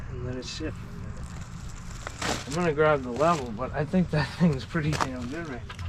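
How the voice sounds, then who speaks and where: A man talks at a moderate pace and fairly high pitch, with hardly any pauses. His pitch varies in an ordinary way, and there is noticeable background noise. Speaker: hardscaping contractor. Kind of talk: casual on-the-job tutorial. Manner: loud.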